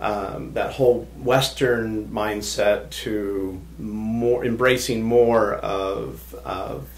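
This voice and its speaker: Over noticeable background noise and audible room echo, a man with an American accent talks at a very slow pace with hardly any pauses. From Southern California. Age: 60s. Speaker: hypnotist. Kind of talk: podcast interview.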